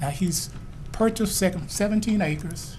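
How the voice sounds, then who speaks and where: A man's voice with audible room echo. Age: 60s. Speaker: resident speaking at public hearing. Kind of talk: public hearing comment.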